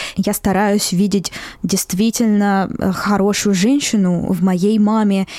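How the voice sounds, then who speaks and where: A woman with a Moscow accent speaks at a very slow pace in a medium pitch, her tone dark and mellow and her intonation monotone and flat. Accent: Moscow Russian. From Russia, Moscow. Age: 20s. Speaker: podcast host. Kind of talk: personal monologue podcast.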